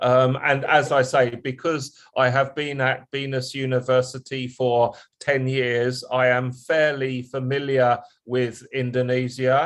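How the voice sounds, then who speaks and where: With an English accent, a man speaks at medium pitch. His delivery is fairly slow, in monotone, flat intonation. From England. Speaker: university lecturer. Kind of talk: lecture. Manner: halting, many fillers.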